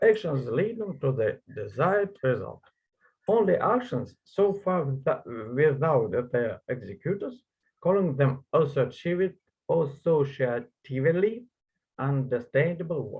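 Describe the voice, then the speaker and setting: A man with a Russian accent speaks at a fairly slow pace, his pitch swinging very widely. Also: fairly high pitch for a man. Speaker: conference presenter. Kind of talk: reading aloud. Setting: online conference. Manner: halting.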